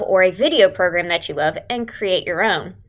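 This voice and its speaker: A woman speaks with a Texas accent at a moderate pace. Her tone is bright and sharp. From Southeast Texas. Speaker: religious education leader. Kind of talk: tutorial. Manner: casual, conversational.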